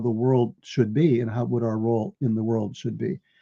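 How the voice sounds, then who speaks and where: A man with an American accent at a fairly quick pace, somewhat breathy and dark and mellow in tone, in a dry, close sound with no echo and a quiet background. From New York. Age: 70s. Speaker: author and researcher. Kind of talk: interview. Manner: repetitive, stammering starts.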